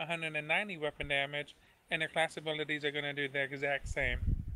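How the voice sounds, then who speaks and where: The pace is fairly quick. The intonation stays monotone and flat. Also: man. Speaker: gamer. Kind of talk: briefing. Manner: fast.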